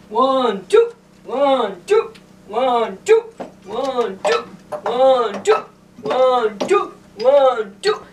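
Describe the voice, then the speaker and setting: A man puts on a cartoonish character voice at an extremely high pitch. He talks very slowly, with long, frequent pauses. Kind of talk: children's puppet show.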